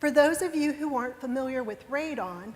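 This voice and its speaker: A woman speaks with a West Virginia accent. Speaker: lawyer. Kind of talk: motivational talk. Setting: stage with audience.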